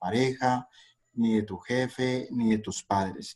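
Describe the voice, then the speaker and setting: A man talks at a medium pitch with a dark, mellow tone. His intonation stays monotone and flat. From Colombia, Cali. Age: 40s. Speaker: investor. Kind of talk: interview. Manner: hesitant with frequent fillers.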